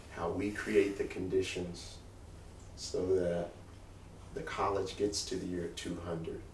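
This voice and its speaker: Audible room echo surrounds a man talking at a fairly slow pace. He leaves long, frequent pauses. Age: 60s. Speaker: college president. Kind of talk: talk to alumni with Q&A.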